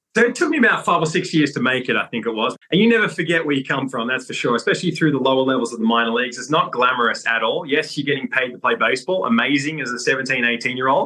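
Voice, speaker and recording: Talking very fast with hardly any pauses, a man with a fairly high pitch and ordinary pitch variation is heard over noticeable background noise. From Australia, Sydney. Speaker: former pro baseball player and coach. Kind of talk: interview.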